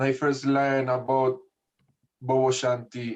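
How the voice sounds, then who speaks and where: At a fairly slow pace, a man with a Spanish accent talks at a fairly high pitch. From Spanish-speaking country. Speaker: Rastafarian priest. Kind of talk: religious study group reasoning.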